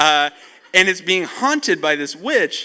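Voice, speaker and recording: A man speaks in a raised, projected voice at a high pitch with a bright, sharp tone. His delivery is animated and fairly slow. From Costa Rica. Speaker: camp speaker. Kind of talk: youth camp talk. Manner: casual.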